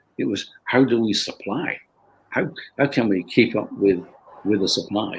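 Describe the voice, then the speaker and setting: A man speaks at a moderate pace with a Lancashire accent, his pitch sitting in the medium range. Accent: Northern English (Lancashire). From Bolton, England. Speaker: company founder. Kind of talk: interview answer.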